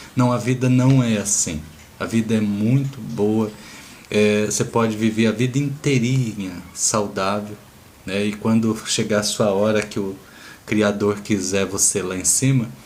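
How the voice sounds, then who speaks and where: With a Brazilian accent, a man speaks at a fairly slow pace with a fairly low pitch and fairly even intonation amid audible room echo. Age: 60s. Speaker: natural health therapist. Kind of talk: informal health talk. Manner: casual, conversational.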